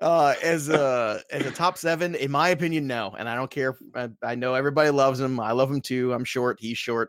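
A man speaks in an unremarkable speaking voice with an American accent, at a medium pitch with ordinary pitch variation. He goes at a fairly quick pace with hardly any pauses. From Brooklyn, New York. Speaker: fantasy football author and analyst. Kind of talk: casual chat.

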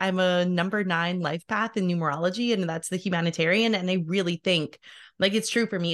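Against a quiet background, a woman with an unremarkable speaking voice talks at a medium pitch and a fairly quick pace. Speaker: podcast host. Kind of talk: casual interview.

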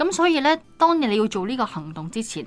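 Amid noticeable background noise, a woman speaks at a fairly quick pace with very wide pitch swings. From Hong Kong. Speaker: podcast host. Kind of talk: Bible study discussion.

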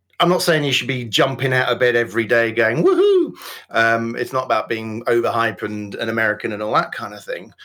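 Medium-pitched man with a West Yorkshire accent, at a fairly quick pace with ordinary pitch variation. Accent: Yorkshire (West Yorkshire, near Wakefield). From Yorkshire, northern England. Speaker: business coach and author. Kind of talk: interview podcast, casual chat.

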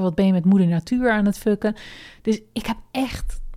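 A woman's dark, mellow, medium-pitched voice keeps a fairly even intonation. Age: 30s. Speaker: podcast host and online entrepreneur. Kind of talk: solo personal podcast monologue. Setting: at her desk.

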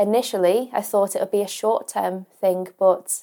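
Here a woman talks with a Lancashire accent. Her tone is dark and mellow, and her pace is moderate. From northwest England, Ormskirk in Lancashire. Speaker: online school science teacher. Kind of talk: casual interview. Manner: hesitant, many fillers.

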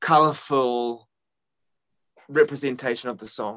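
Speaking at a moderate pace with a New Zealand accent, a man uses a medium pitch, a bright, sharp tone and fairly even intonation. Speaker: rock musician. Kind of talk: interview. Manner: halting.

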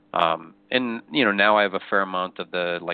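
A man with a fairly low pitch uses a plain, everyday voice at a moderate pace. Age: 50s. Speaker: football memorabilia collector. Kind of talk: casual chat. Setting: phone call.

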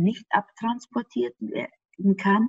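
Speaking at a very slow pace, a woman sounds somewhat breathy. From Austria. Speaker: gut health expert. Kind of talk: interview.

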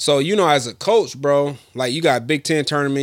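A normal speaking voice with ordinary pitch variation and an American accent. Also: man. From Michigan. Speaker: sports podcast host. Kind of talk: casual chat.

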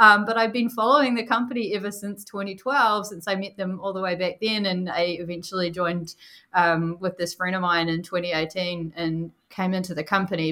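A woman speaks with a New Zealand accent in a bright, sharp tone. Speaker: product marketing director. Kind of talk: casual interview chat. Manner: animated, laughs often.

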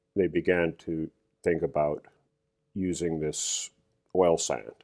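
Recorded with a dry, close sound and no echo, a man with a Western Canadian accent speaks at a very slow pace in a very deep, low pitch. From Canadian prairies (Alberta, Saskatoon). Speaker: corporate lawyer. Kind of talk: interview.

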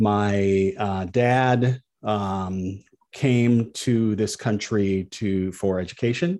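A man with an American accent speaks at a very slow pace. His tone is dark and mellow against a quiet background. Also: fairly low pitch for a man. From US Midwest, Peoria, Illinois. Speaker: TV news correspondent. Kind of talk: interview.

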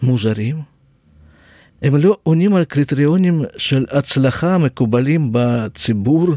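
Speaking with a Russian accent, a man uses a dark, mellow tone at fairly high pitch and a very slow pace, with long, frequent pauses. His intonation is lively while his loudness stays very even. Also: dry, close sound with no echo, very clean recording, silent background. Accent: Russian-accented Hebrew. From Russia (Siberia). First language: Russian (speaking Hebrew). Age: 60s. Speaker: podcast host, nurse. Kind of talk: personal storytelling monologue. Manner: halting.

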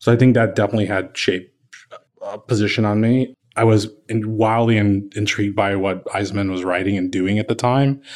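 A man with a plain, everyday voice, fairly low in pitch, with an American accent, fairly even intonation and a fairly quick pace. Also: quiet background. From Kansas City, Missouri. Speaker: architect. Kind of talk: interview. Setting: office.

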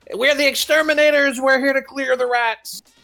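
Over music in the background, a man shouts in a put-on character voice at an extremely high pitch and a moderate pace. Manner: shouting, gleeful.

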